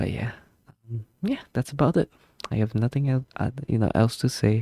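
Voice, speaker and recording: A man mumbles in a put-on character voice at a moderate pace. His pitch sits in the medium range. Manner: mumbling, rambling.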